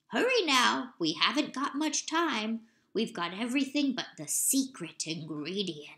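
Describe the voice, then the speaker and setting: A woman's put-on character voice, raised and projected, fairly high-pitched, with very wide pitch swings at a moderate pace. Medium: read story. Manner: steady, soft, folksy.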